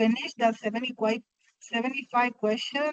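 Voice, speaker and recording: A woman with a fairly high pitch speaks with fairly even intonation, in a dry, close sound with no echo. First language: not English. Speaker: student. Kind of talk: question in class. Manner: halting.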